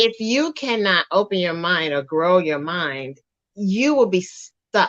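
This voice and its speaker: A woman at a medium pitch talks at a very slow pace, her pitch swinging very widely. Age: 60s. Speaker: wellness show co-host, herbalist. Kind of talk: casual chat.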